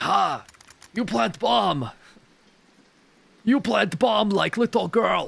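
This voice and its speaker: A man uses a put-on character voice, high-pitched and very slow. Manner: taunting.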